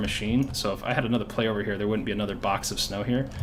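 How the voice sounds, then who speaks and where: A man at a medium pitch with fairly even intonation, in audible room echo. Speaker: game modding tutorial creator. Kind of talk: tutorial. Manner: fast.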